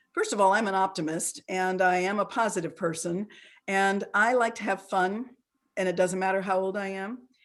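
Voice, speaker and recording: At a moderate pace, a woman with a normal speaking voice talks at a medium pitch. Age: 60s. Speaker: ageism expert and presenter. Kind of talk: interactive online talk. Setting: video call.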